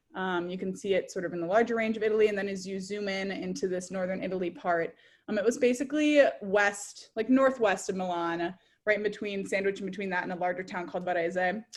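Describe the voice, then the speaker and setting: A woman with an Upper Midwest accent at a medium pitch and a very fast pace, ordinary pitch variation, in a very clean recording with a silent background. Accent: Upper Midwest American. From US Midwest, Minnesota (Edina). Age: 20s. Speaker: former exchange student, graduate student. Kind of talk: presentation talk.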